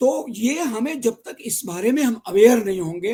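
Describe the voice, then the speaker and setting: A man speaks in an extremely high pitch with very wide pitch swings. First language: Gujarati (speaking Hindi). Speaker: Sanskrit scholar and news reader. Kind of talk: interview.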